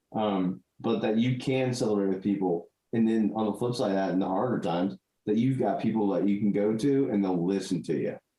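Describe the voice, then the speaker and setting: A man with a plain, everyday voice talks at a fairly quick pace in a fairly low pitch, with very even loudness and ordinary pitch variation. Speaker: podcast host. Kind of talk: casual podcast conversation.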